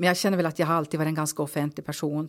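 Her very deep, low pitch holds a fairly even intonation, and this woman is heard on a very clean recording with a silent background. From Norrbotten, northern Sweden (Kalix). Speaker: local politician. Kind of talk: interview.

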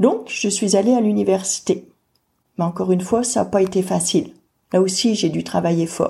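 A woman at a moderate pace in a very clean recording with a silent background. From France. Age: 40s. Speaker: person with hydrocephalus sharing her story. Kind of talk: personal testimony narration.

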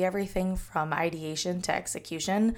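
A woman with an American accent speaks in a medium pitch, with an ordinary speaking voice. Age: 30s. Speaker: podcast host, social media professional. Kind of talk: solo podcast monologue.

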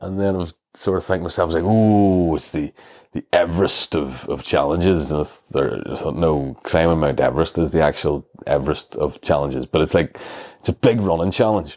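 A man's very deep, low voice at a fairly quick pace, in a Northern Irish accent. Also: ordinary pitch variation. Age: 40s. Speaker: comedian. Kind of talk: casual chat.

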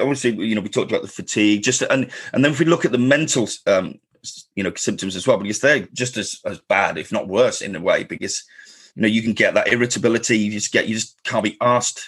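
A man speaks at a fast pace. His fairly low voice has a slightly husky edge.

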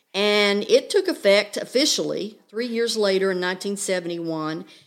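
With an American accent, a woman has an ordinary speaking voice at a medium pitch, talking at a moderate pace with lively intonation on a very clean recording with a silent background. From Oklahoma. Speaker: guest presenter. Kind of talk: educational chat. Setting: studio.

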